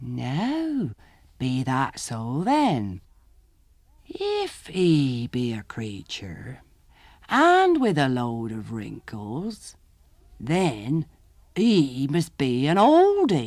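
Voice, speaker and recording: In a put-on character voice, a man speaks at a medium pitch. His pace is very slow, with long, frequent pauses. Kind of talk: country folk tale reading. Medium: read story. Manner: rustic dialect, folksy grammar.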